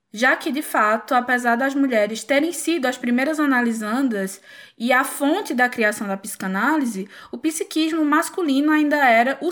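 Using lively intonation and a high pitch, a woman speaks at a moderate pace with hardly any pauses, in a very clean recording with a silent background. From Pernambuco, Brazil. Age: 20s. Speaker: clinical psychologist. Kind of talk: casual chat.

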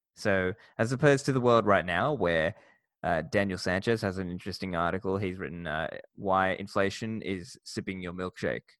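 A man with an Australian accent speaks at a moderate pace in a very deep, low voice with ordinary pitch variation, on a very clean recording with a silent background. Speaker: podcast host and bitcoin educator. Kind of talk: interview.

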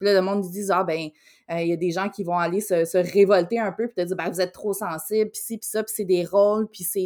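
A woman speaks at a fairly quick pace and medium pitch with monotone, flat intonation. Her loudness swings widely. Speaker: podcast co-host. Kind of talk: casual chat.

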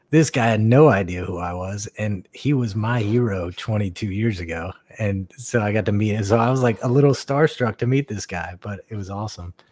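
This is an unremarkable speaking voice with an American accent, moderate pace, hardly any pauses and ordinary pitch variation, recorded very cleanly against a silent background. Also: man, fairly low pitch for a man. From North Carolina (Raleigh, Greensboro). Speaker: veteran paintball player. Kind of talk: casual chat.

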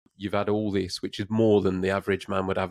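In a very clean recording with a silent background, a man with a West Midlands accent talks very fast at a very deep, low pitch in a monotone, flat intonation. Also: dry, close sound with no echo. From England, Redditch (West Midlands). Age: 30s. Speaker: podcast host. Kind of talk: casual interview chat.

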